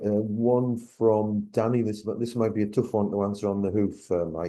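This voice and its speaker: Against a quiet background, a man with a northeast English accent speaks at a fairly slow pace in a fairly low, dark and mellow voice, flat and monotone, with hardly any pauses. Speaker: Q&A moderator. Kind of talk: reading audience questions.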